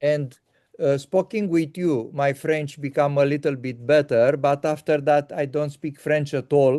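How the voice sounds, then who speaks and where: Against a quiet background, a man speaks at a fairly slow pace with a dark, mellow tone. His pitch is fairly high, and his intonation is fairly even. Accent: Romanian. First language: Romanian. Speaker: interviewer. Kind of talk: casual chat. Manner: halting.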